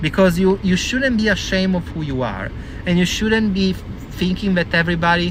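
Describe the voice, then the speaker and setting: High-pitched man with an Italian accent at a moderate pace, with audible room echo and noticeable background noise. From Italy. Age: 40s. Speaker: vlogger. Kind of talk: casual monologue. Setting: in a car. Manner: animated.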